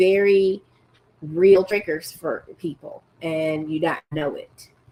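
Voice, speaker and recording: A woman's dark, mellow voice at a very slow pace, fairly even in intonation, with big swings in loudness. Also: medium pitch for a woman. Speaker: teacher and podcast host. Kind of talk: casual monologue. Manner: direct and strong.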